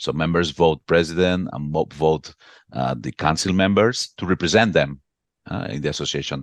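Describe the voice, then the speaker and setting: A man's very deep, low voice with vocal fry, ordinary pitch variation and moderate pace, dry and close with no echo against a quiet background. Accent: Catalan. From Catalonia, Spain (Barcelona). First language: Catalan. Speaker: association executive. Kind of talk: interview. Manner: halting, repeats words.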